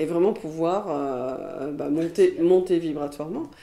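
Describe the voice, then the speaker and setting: A woman with a dark, mellow tone talks at a fairly slow pace. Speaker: hypnotherapist and trainer. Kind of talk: interview. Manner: hesitant, with fillers.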